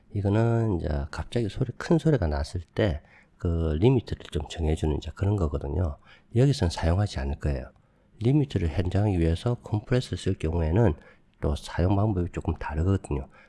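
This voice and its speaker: On a very clean recording, silent background, a man with very deep, low pitch and a dark, mellow, somewhat breathy tone talks at a fairly quick pace with lively intonation. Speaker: video editing tutorial youtuber. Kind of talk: tutorial. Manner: casual, conversational.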